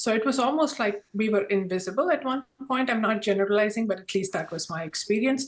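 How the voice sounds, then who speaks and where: Woman's voice, fairly quick pace, ordinary pitch variation. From India. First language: Indian language. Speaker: corporate diversity professional. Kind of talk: panel discussion.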